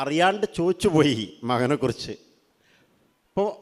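A man's pitch swings very widely as he speaks. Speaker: Islamic teacher speaking to students. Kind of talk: religious talk to teenagers. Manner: conversational, asking audience questions.

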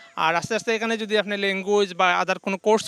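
The voice is raised and projected. The sound is dry and close, with no echo. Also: man. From Bangladesh, Sylhet (Beanibazar). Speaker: immigrant, former bank officer. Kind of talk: interview.

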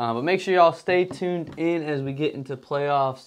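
Speaking at a moderate pace in an American accent, a man with a plain, everyday voice and fairly high pitch is heard against a quiet background. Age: 20s. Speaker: sports podcast host. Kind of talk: casual chat.

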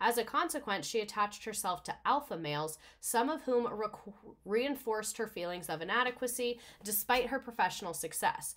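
A woman speaks with an animated tone and lively intonation. Her pitch is fairly high and her pace fairly quick. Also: quiet background. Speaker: livestream host presenting a history topic. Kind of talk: casual livestream presentation with slides. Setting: live stream with viewer chat. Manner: animated, excitable. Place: home room.

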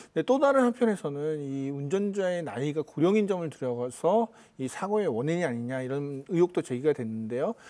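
A man's dark, mellow tone at a fairly quick pace against a quiet background. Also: fairly high pitch for a man, lively intonation. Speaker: journalist. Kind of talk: news commentary. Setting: studio. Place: studio. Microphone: lapel.

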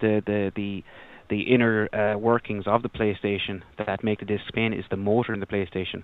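Speaking at a fairly quick pace, a man keeps a fairly low pitch with little pitch movement.

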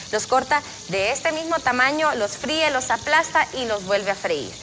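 With light background noise behind her, a woman speaks at a high pitch and moderate pace with ordinary pitch variation. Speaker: TV cooking host. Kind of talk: cooking tutorial. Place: studio. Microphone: lapel.

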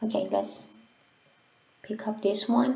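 A fairly slow pace with a non-native accent. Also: woman. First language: not English. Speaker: English learner sharing listening practice. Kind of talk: casual tutorial talk to camera. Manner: hesitant, with fillers.

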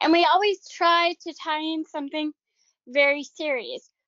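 A high-pitched woman's voice with an American accent, ordinary pitch variation and a moderate pace. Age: 40s. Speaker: assistant director of a self-advocacy program. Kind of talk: webinar presentation. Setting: video call.

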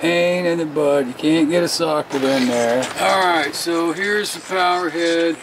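Over light background noise, a man speaks at a very slow pace. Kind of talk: tutorial. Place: workshop. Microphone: phone near.

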